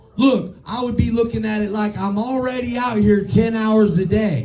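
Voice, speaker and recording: Over noticeable background noise and audible room echo, a man speaks in a high pitch with ordinary pitch variation. His tone is animated and his pace fairly slow. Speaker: sales team leader. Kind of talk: motivational talk to sales team.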